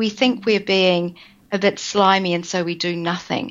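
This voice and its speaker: A woman speaks at a medium pitch with a New Zealand accent. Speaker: business coach. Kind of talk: interview.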